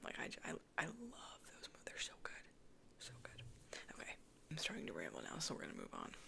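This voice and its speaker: Whispering at a fairly quick pace, someone leaves long, frequent pauses against noticeable background noise. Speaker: ASMR creator. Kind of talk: casual soft-spoken Q&A chat. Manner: soft-spoken.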